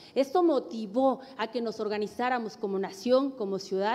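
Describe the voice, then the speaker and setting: Lively intonation runs through a dark, mellow tone delivered at a moderate pace. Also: woman. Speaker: political candidate. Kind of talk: debate. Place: studio. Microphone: podium.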